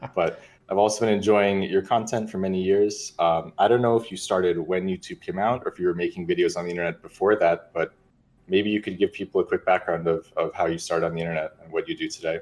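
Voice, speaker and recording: Over a quiet background, a man with an American accent talks at a very fast pace. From US. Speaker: streamer and interviewer. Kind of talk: casual interview.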